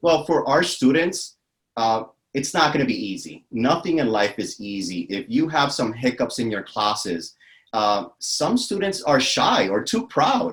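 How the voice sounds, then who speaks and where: The voice carries vocal fry and very wide pitch swings. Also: man, fairly high pitch for a man, fairly slow pace. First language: not English. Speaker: academic advisor and veteran. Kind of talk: interview.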